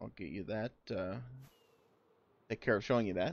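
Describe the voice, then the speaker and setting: A man puts on a character voice with a fairly low pitch. He mumbles at a moderate pace with ordinary pitch variation. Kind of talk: casual, narrating a video. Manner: mumbling.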